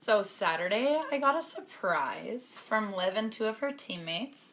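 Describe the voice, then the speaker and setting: With a Canadian accent and a plain, everyday voice, a woman speaks at a fairly slow pace in a fairly high pitch, her intonation lively. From Canada. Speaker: professional hockey player. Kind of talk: vlog narration. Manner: casual.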